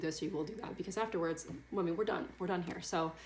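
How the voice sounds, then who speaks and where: There is noticeable background noise as a woman talks at a fairly low pitch with ordinary pitch variation. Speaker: vlogger sharing surrogacy journey. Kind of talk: casual vlog update. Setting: at home on bedroom floor. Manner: fast.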